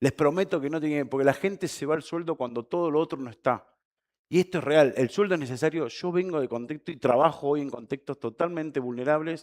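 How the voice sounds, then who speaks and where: In a dry, close sound with no echo, a man with a fairly high pitch talks in an animated tone at a very fast pace. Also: ordinary pitch variation. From Argentina. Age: 40s. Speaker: conference speaker. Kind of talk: keynote talk. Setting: stage with audience.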